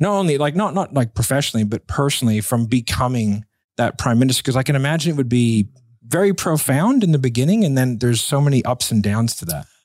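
A man at a medium pitch talks at a very fast pace with lively intonation, recorded very cleanly against a silent background. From United States. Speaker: podcast host, entrepreneur. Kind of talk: casual interview.

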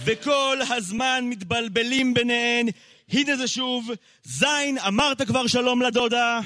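Using a raised, projected voice, a man speaks very slowly at an extremely high pitch with fairly even intonation and a bright, sharp tone. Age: 20s. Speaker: slam poet. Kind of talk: spoken word poetry. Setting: stage with audience.

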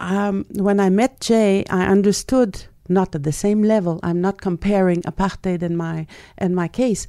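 A woman's dark, mellow voice in a Quebec accent, medium in pitch with ordinary variation, fairly slow, on a very clean recording with a silent background. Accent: French Canadian accent in English. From Quebec, Canada (French Canadian). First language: French. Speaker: journalist and writer. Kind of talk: interview.

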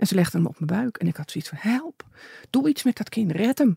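A woman of medium pitch makes very wide pitch swings in a dark, mellow tone, somewhat breathy. The sound is dry and close with no echo. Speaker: bereaved mother. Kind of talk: interview.

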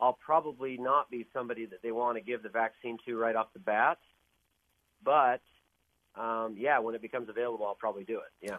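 A man with a medium-pitched voice talks at a fairly quick pace, his intonation fairly even and his loudness swinging widely, in a normal speaking voice. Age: 50s. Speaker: caller. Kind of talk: radio call-in chat.

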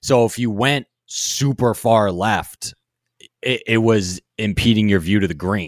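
The recording is very clean, with a silent background. A man with a plain, everyday voice speaks in a fairly low pitch with ordinary pitch variation. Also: fairly slow pace. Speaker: golf podcast host. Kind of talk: casual chat.

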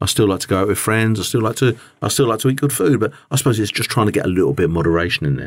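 A man with an English accent and a fairly low pitch talks at a very fast pace with vocal fry, on a very clean recording with a silent background. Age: 50s. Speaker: business owner and podcast host. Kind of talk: personal monologue. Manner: halting, with many repetitions and fillers.

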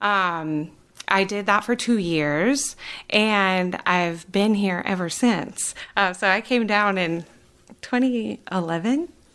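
Very slow speech from a woman with an American accent, medium pitch and ordinary pitch variation, on a very clean recording with a silent background. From Wisconsin. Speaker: opera singer and voice teacher. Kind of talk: interview conversation.

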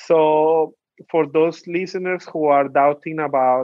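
A man with a Colombian accent and fairly even intonation. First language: Spanish. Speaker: youth policy officer. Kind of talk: interview.

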